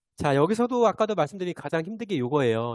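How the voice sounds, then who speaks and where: A man speaks against a quiet background. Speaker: teacher giving teacher training. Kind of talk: online training lecture. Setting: video call. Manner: fast; hesitant fillers.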